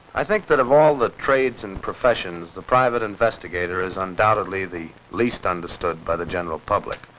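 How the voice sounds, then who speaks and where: A man's fairly low voice with an American accent, fairly quick and with ordinary pitch variation, over noticeable background noise. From United States. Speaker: TV host and journalist. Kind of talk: TV documentary narration. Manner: wry, conversational.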